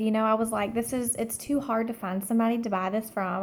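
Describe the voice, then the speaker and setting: Quiet and fairly high, a woman with a Southern US accent speaks with fairly even intonation. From Alabama. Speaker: direct sales consultant. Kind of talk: personal story monologue. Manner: hushed, keeping quiet.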